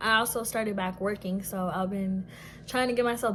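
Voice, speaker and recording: With fairly even intonation, this woman's voice comes across somewhat breathy. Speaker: Air Force service member. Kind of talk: casual storytime talk to camera. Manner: casual, expressive.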